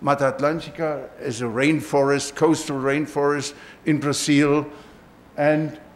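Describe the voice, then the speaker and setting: Amid audible room echo, a man with a fairly high pitch speaks fairly slowly in a monotone, flat intonation. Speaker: professor. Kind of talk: lecture. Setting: auditorium. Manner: halting.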